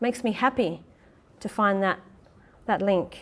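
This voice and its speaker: A woman with an Australian accent talks at a moderate pace and a fairly high pitch. Her pitch varies in an ordinary way. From Perth, Western Australia. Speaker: actor, theatre maker and playwright. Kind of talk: public lecture.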